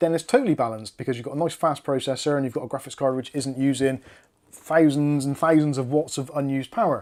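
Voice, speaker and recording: This man has a fairly high pitch and fairly even intonation. He talks at a very fast pace. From UK. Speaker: tech YouTuber. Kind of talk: live stream chat. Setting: live stream. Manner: casual, conversational.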